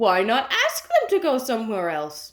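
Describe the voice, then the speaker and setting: A woman performs in a put-on character voice. Her pitch sits fairly high. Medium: read story.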